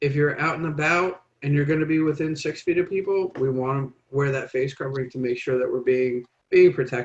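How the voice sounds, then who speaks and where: A fairly high-pitched man with an unremarkable speaking voice, fairly even intonation and a fairly quick pace. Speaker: public health presenter. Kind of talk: informational presentation.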